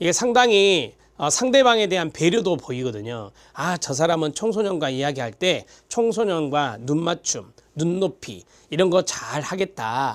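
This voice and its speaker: Pitch swings very widely at a fairly slow pace. The recording is very clean, with a silent background. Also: man, high pitch for a man. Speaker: lecturer for certification exam prep. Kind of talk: lecture.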